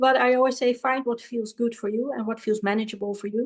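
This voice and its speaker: A Dutch accent, fairly even intonation, and a quiet background. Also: woman. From Netherlands. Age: 40s. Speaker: spiritual guide and healer. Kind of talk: podcast interview. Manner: halting, with fillers.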